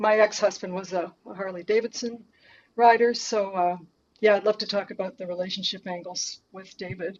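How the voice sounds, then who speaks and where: A woman with a Canadian accent talks at a moderate pace in an ordinary speaking voice, her intonation fairly even and her loudness swinging widely. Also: medium pitch for a woman. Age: 60s. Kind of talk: interview. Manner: frequent fillers.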